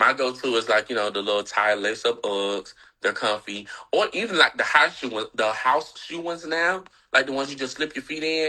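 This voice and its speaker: A man speaks with a Southern US accent at medium pitch and a fairly quick pace. His tone is bright and sharp, his intonation lively. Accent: Southern, country. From US South, Atlanta, Georgia. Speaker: fashion blogger and reality TV personality. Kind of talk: casual interview chat.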